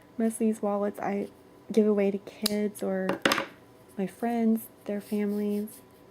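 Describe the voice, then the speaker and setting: Over noticeable background noise, a woman speaks in a monotone, flat way with long, frequent pauses. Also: medium pitch for a woman, fairly slow pace. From moved around as army child. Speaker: crochet tutorial creator. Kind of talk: tutorial. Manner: casual, chatty.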